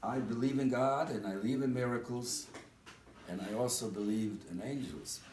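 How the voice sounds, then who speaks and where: Amid noticeable background noise and audible room echo, a man of medium pitch speaks at a moderate pace with ordinary pitch variation. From Eastern Europe. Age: 80s+. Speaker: speaker at a community dinner. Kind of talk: speech.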